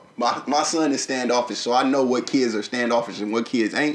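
Speaking rather quickly, a man talks in a Southern US accent. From Arkansas. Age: 30s. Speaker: podcast co-host. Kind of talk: casual chat. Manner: animated.

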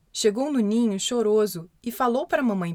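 Her voice sits high in pitch for a woman. She speaks at a moderate pace. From Brazil. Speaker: children's storyteller podcaster. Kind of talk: reading aloud a children's story.

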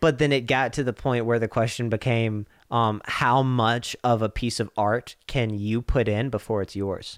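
Delivered with an American accent at a moderate pace, the speech has hardly any pauses and fairly even intonation. The recording is very clean with a silent background. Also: man, medium pitch for a man. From US South (Swainsboro, Georgia). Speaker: podcast host. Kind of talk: casual chat.

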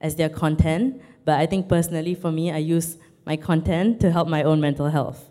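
Woman with a Singaporean accent, a fairly low pitch, a dark, mellow tone and a moderate pace. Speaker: online comedian. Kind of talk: panel discussion.

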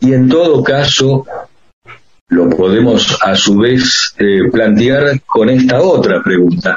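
A man speaks at a very slow pace. His loudness stays very even throughout. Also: medium pitch for a man, lively intonation. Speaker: radio host and professor. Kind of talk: interview. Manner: formal.

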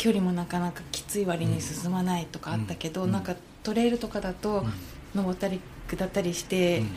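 With noticeable background noise behind her, a woman of medium pitch talks at a fairly quick pace with ordinary pitch variation. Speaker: trail runner. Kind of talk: casual chat.

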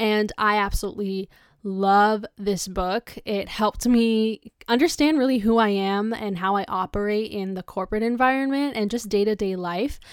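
A woman's fairly high voice at a moderate pace with ordinary pitch variation, a normal speaking voice, on a very clean recording with a silent background. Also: hardly any pauses. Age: 20s. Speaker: podcast host, youth self-development speaker. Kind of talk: solo motivational podcast talk. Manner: casual, chatty.

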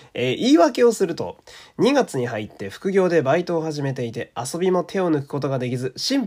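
In a very clean recording with a silent background, a man speaks in a high voice that swings very widely in pitch. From Japan, Fukui. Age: 30s. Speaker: podcaster. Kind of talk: casual chat with listener mail.

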